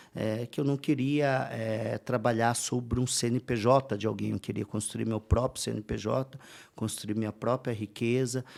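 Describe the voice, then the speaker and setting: A man talks at a fairly slow pace and medium pitch with fairly even intonation, in a plain, everyday voice. The recording is very clean, with a silent background. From interior of São Paulo state, Brazil. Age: 40s. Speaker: entrepreneur and speaker. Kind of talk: podcast interview. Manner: casual, with frequent fillers.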